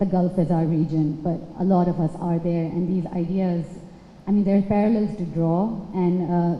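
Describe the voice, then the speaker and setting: The voice keeps a moderate pace and fairly even intonation over noticeable background noise. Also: woman. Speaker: audience member. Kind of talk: audience question. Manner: loud.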